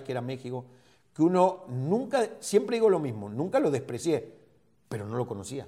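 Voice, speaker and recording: A man's fairly high-pitched voice, dark and mellow in tone, at a fairly quick pace. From Argentina. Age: 50s. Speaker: football coach and former player. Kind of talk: interview.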